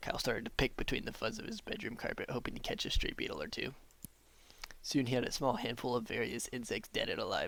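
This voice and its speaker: Putting on a character voice, a man talks at a very fast pace in a raspy, deadpan tone with a fairly high pitch. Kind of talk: text adventure narration read aloud. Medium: game stream. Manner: deadpan, often slipping into laughter.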